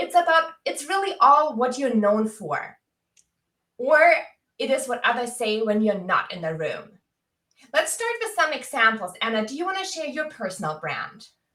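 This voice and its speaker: A raised, projected voice with a bright, sharp tone, very wide pitch swings, and a moderate pace. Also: woman, high pitch for a woman. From Germany. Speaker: career coach. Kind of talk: live webinar chat. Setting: video livestream. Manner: animated.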